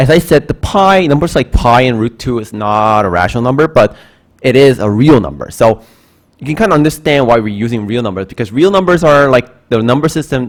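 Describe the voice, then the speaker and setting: With a Korean accent, a man talks at a fairly quick pace. His medium-pitched voice has lively intonation. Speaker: math instructor. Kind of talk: lecture. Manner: halting.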